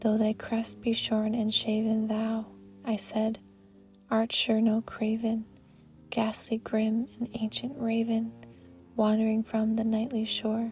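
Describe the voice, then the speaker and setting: Music plays in the background as a woman speaks very slowly, with long, frequent pauses. Her fairly high pitch stays in a flat monotone, and her loudness is very even. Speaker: narrator. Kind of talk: poetry reading. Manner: soft-spoken.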